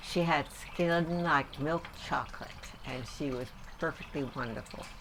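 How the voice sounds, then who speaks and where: Over noticeable background noise, a woman with an American accent speaks at a moderate pace in a very deep, low voice with ordinary pitch variation. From New York area, US Northeast. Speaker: grandmother interviewed about her life. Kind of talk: family oral history interview.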